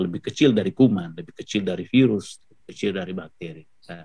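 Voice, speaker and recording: A man speaks with lively intonation against a quiet background. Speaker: professor giving Quran commentary. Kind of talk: webinar lecture. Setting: video call webinar. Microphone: video call.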